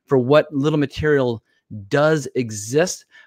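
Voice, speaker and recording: An animated tone with ordinary pitch variation, dry sound with no echo and a quiet background. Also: man. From US. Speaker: TV show reviewer. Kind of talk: casual chat. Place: home room. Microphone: studio mic.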